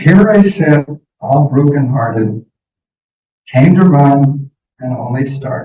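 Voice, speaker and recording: A man's fairly high voice with a dark, mellow tone, somewhat breathy, at a very slow pace, with ordinary pitch variation and long, frequent pauses. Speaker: poet. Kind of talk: poetry reading. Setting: stage with audience.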